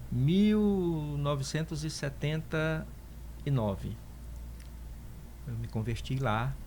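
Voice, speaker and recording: Long, frequent pauses break up a man's very slow speech, with audible room echo around him. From Northeast Brazil (Piauí). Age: 60s. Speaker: pastor and theologian. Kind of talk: interview testimony.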